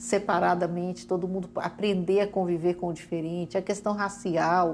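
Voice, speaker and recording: Speaking at a moderate pace, a woman has a plain, everyday voice pitched in the medium range. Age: 60s. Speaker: education coordinator. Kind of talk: TV talk show interview.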